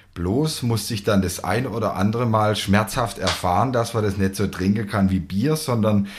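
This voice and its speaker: An ordinary speaking voice with fairly even intonation at a moderate pace. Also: man. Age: 20s. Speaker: winemaker. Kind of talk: casual interview. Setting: on location at a winery, at a table.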